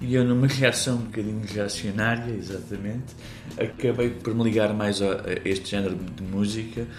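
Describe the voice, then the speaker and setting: Speech comes at a moderate pace with fairly even intonation and a somewhat breathy quality, in a European Portuguese accent. Room echo is audible. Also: man, fairly low pitch for a man. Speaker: pianist and composer. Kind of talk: interview monologue. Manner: halting.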